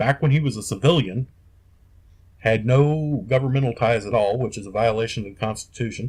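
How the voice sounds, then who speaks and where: With an American accent, a man speaks at a moderate pace and medium pitch in a somewhat breathy voice with ordinary pitch variation. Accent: Southern US redneck. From US South, Kentucky and North Carolina. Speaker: podcast host. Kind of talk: casual rant. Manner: animated.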